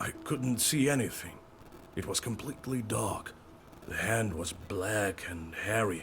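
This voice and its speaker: A man puts on a character voice at a fairly low pitch. He goes at a fairly slow pace over clear background noise. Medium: video game. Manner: anxious, earnest.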